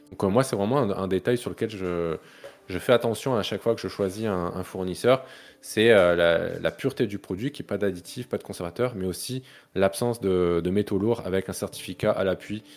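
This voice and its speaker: An ordinary speaking voice from a man, fairly low in pitch, with ordinary pitch variation. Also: moderate pace, very clean recording, silent background. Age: 30s. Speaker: neuroscientist and health content creator. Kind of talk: casual chat.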